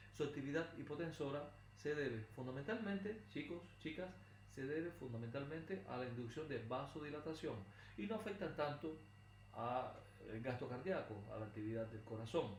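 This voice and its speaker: With noticeable background noise and audible room echo, a man talks at a fairly high pitch with lively intonation. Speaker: pharmacology lecturer. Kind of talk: recorded lecture. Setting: recorded video lesson, not in a classroom. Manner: fast.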